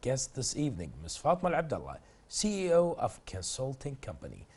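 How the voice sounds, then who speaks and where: A man speaks at a fairly quick pace in a somewhat breathy voice. The background is quiet. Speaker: TV host. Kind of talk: TV interview.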